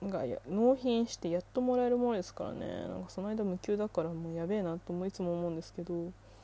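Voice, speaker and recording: A woman speaks at a very fast pace, with hardly any pauses and big swings in loudness. Her medium pitch has ordinary variation, and her tone is dark and mellow. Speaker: solo podcaster. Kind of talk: casual monologue. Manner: frequent laughter.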